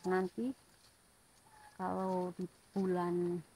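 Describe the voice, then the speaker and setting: A soft-spoken woman talks in a somewhat breathy voice with a dark, mellow tone. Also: dry, close sound with no echo. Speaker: clove and coffee farmer vlogger. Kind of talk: casual vlog narration. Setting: outdoors by the roadside. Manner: soft-spoken, very quiet. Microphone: too quiet, volume must be raised.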